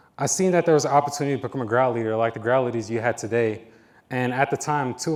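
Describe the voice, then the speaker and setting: A man speaks at a very fast pace with an American accent. His pitch is medium. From New York City. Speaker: university staff member, recent graduate. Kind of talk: speech to students.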